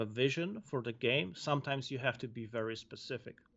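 A man speaks with a Polish accent at a medium pitch. His pace is moderate and his pitch variation ordinary. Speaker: video game level designer. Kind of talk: casual interview. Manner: halting.

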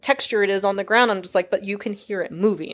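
On a very clean recording with a silent background, a woman with an American accent, a medium pitch and a normal speaking voice talks at a fairly quick pace. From Texas. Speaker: sound designer and Foley artist. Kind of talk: casual interview chat. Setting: in-person studio recording.

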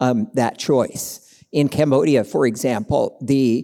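The speaker is a man at medium pitch. His pitch varies in an ordinary way. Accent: American. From Tulsa, Oklahoma, US. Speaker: pastor. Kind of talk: panel discussion.

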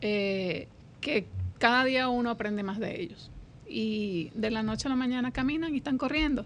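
Fairly high pitch from a woman with a plain, everyday voice, a moderate pace, and ordinary pitch variation. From Colombia, Venezuela and Dominican Republic. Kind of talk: radio interview.

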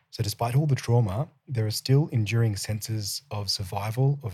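Somewhat breathy, the voice comes with an Australian accent on a very clean recording with a silent background. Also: man. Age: 30s. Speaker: podcast host. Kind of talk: interview. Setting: studio.

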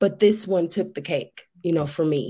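This woman has an ordinary speaking voice. She talks at a moderate pace with ordinary pitch variation. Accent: American. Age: 30s. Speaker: addiction recovery advocate. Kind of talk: interview.

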